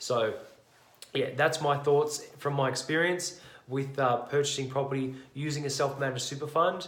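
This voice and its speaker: In an Australian accent, a man speaks with a fairly high pitch. His intonation is fairly even, with audible room echo. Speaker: property investor vlogger. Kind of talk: casual explainer video. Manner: fast; halting, many fillers and restarts.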